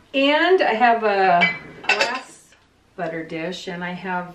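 A woman speaks at a medium pitch over noticeable background noise. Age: 60s. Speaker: host's mother. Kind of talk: casual chat. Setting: at home. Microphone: camera far.

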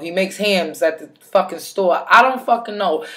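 Against a quiet background, a woman's pitch varies in an ordinary way. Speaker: advice vlogger. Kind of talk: casual vlog chat. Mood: blunt, sassy, emphatic. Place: home room. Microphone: webcam.

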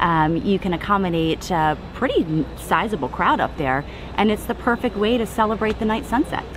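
Clear background noise accompanies speech at a moderate pace with lively intonation. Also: woman, medium pitch for a woman.

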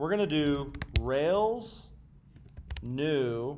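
Light background noise behind a man's speech. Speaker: coding instructor. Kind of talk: tutorial. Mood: relaxed, joking. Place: home room.

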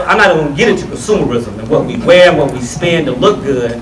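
There is light background noise and audible room echo as a man talks with lively intonation. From Atlanta, Georgia; Georgia. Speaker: tech entrepreneur and panel moderator; panel moderator. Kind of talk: panel discussion. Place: hall. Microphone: pa.

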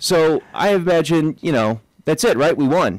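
A man at a very slow pace, his pitch swinging very widely, in dry sound with no echo. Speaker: radio co-host. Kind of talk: radio talk show chat. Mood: light, joking. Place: studio. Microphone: studio mic.

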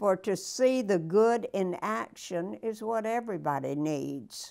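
A woman speaks in a warm tone at a very slow pace. The background is quiet. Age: 90s. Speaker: weekly motivational speaker reading a poem. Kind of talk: poem reading aloud, warm and personable, with a short chatty intro. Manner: slow, measured, deliberate; warm, grandmotherly, sincere. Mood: calm, gentle, inspirational. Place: home room. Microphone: lapel.

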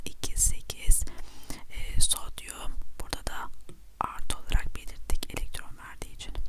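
A woman whispers at a fairly slow pace, with big swings in loudness. Noticeable background noise runs underneath. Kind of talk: ASMR chemistry lesson. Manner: whispered.

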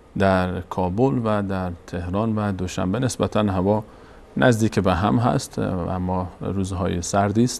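Pitch moves with ordinary variation. The delivery comes at a fairly slow pace. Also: man, fairly low pitch for a man. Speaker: TV program host. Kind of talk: show opening address. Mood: warm, welcoming. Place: studio. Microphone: lapel.

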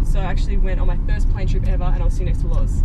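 Loud background noise is present throughout. A woman talks over it. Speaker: interview guest. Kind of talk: interview answer. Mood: relaxed, chatty, laughing. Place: car. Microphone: camera far.

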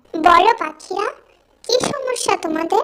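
A cartoonish character voice with lively intonation. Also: woman, extremely high pitch for a woman.

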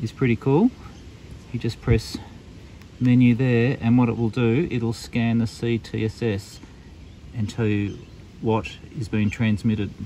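A man with an Australian accent speaks at a fairly slow pace, the sound dry with no echo and light background noise. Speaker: amateur radio reviewer. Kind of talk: product review tutorial. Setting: outdoors in the bush. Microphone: phone near.

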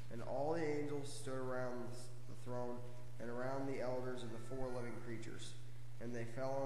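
A man's monotone, flat delivery at a moderate pace, with audible room echo and light background noise. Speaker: reader at lectern. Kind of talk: scripture reading. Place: church. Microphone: camera far.

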